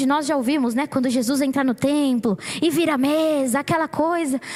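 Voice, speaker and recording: Noticeable background noise sits behind a woman. She talks at a moderate pace with ordinary pitch variation. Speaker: preacher. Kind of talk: sermon. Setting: church.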